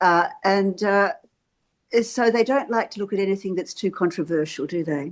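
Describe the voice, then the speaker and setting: The speaker has an Australian accent and a moderate pace. Pitch varies in an ordinary way against a quiet background. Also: woman, medium pitch for a woman. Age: 70s. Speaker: activist. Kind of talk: interview on a video call.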